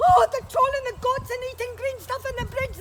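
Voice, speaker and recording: A woman uses a put-on character voice at an extremely high pitch. She keeps a moderate pace over light background noise. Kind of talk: storytelling performance. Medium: stage play. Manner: excitable, hurried.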